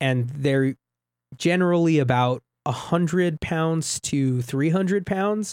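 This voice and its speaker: The speech comes at a very slow pace on a very clean recording with a silent background. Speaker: community radio co-host. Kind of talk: casual chat. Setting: radio studio.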